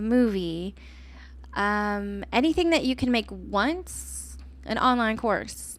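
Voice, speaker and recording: In a very clean recording with a silent background, a woman speaks with an American accent. Her pace is very slow. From Texas, Austin. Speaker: podcast host, entrepreneur. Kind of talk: solo podcast monologue. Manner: casual, conversational.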